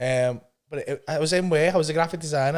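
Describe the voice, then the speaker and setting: A man with a Liverpool accent speaks at a fairly high pitch in an animated tone. His intonation is lively, and the recording is very clean with a silent background. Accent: Scouse (Liverpool). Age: 50s. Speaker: stand-up comedian. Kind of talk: casual chat.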